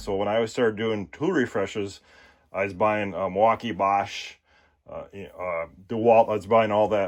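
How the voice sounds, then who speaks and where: A voice with a Minnesotan accent over a quiet background. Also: man. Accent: Minnesota. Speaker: tool reviewer YouTuber. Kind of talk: product unboxing and demonstration. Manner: casual, hesitant with fillers.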